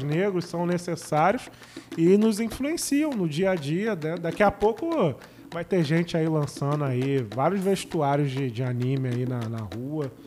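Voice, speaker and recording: With lively intonation, a man speaks at a fairly high pitch. His pace is fairly slow, and background noise is noticeable. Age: 30s. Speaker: podcast co-host. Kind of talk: casual chat.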